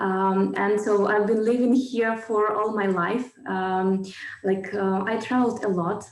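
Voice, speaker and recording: With monotone, flat intonation, a woman speaks at a fairly slow pace amid noticeable background noise and audible room echo. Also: medium pitch for a woman, very even loudness. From Ukraine, Kharkiv. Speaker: businesswoman. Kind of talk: interview. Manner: halting, many fillers.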